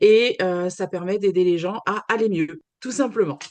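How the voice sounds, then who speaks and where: A woman's medium-pitched voice with ordinary pitch variation, at a fairly slow pace. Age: 40s. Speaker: lithotherapist. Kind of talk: interview.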